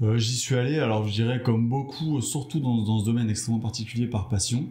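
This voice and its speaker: A man talks at a fairly quick pace in a medium pitch, with fairly even intonation and very even loudness. Audible room echo surrounds his voice. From Brittany, France. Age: 40s. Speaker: entrepreneur. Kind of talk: interview. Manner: hesitant.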